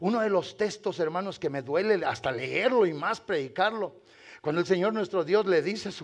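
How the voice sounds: A natural reading voice carries the whole clip.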